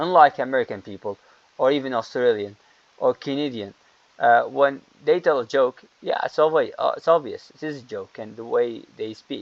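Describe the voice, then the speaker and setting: Recorded with a dry, close sound and no echo, a man speaks at a moderate pace with big swings in loudness. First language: not English. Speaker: English teacher. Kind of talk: lecture. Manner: halting.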